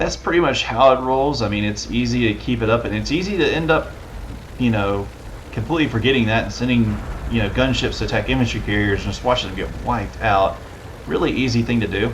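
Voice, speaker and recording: A man with a Southern accent at a very fast pace, with audible room echo and noticeable background noise. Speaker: let's play gamer. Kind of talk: gameplay commentary. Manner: casual, hesitant with fillers.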